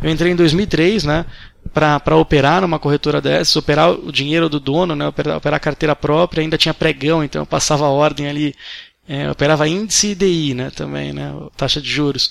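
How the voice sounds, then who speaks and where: At a fairly quick pace, a man talks in a fairly high voice with fairly even intonation. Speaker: day trader. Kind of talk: interview. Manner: halting.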